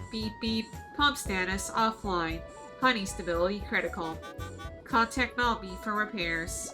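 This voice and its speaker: Over clear music in the background, a female-sounding, nasal, put-on character voice speaks at a medium pitch and a moderate pace. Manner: flat, mechanical.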